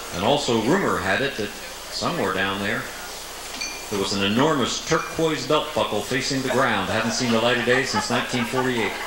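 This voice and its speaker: Noticeable background noise accompanies a man's voice. He moves at a fairly quick pace, and his pitch varies in an ordinary way. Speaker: comedian. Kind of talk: stand-up comedy monologue. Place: stage.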